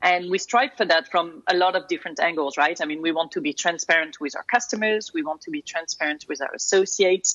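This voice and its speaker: Speaking at a very fast pace with hardly any pauses, a woman with a French accent uses lively intonation in a fairly low voice. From France. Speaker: corporate security executive. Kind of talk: interview.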